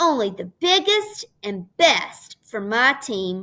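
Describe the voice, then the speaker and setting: Using a put-on character voice, a woman speaks at a high pitch and a very slow pace, with very wide pitch swings. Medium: read story. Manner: loud.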